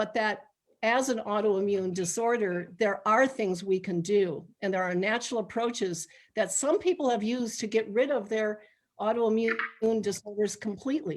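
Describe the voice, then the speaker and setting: Speaking at a moderate pace, a woman uses an ordinary speaking voice with a fairly high pitch and ordinary pitch variation. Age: 60s. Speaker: medical intuitive and spiritual counselor. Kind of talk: informal health talk in a live online meeting. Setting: live video meeting streamed online.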